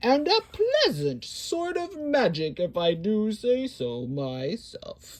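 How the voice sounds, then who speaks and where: A woman's put-on character voice, fairly high in pitch, at a very slow pace. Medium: read story. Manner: jolly, good-natured.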